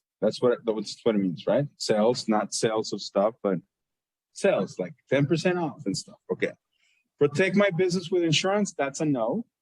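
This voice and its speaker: With very wide pitch swings, a man talks at a moderate pace in a fairly high, somewhat breathy voice, the sound dry and close with no echo. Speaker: accounting professor. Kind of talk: lecture. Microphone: muffled by face mask.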